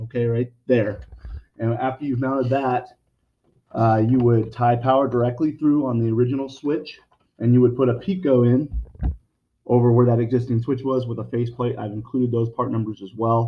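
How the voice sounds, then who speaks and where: A man of medium pitch talks in an ordinary speaking voice. He keeps fairly even intonation at a moderate pace. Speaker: lighting sales representative. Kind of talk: product explanation video message. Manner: casual, with many fillers.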